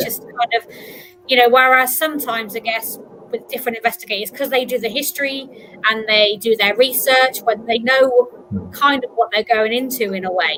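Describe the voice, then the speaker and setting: A woman talks at a fairly quick pace with a fairly high pitch. Noticeable background noise can be heard. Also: fairly even intonation. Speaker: podcast host. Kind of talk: casual talk show hosting.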